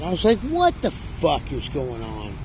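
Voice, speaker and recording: There is noticeable background noise. The speech moves at a moderate pace. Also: man. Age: 60s. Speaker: homeless vlogger. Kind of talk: casual monologue. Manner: animated.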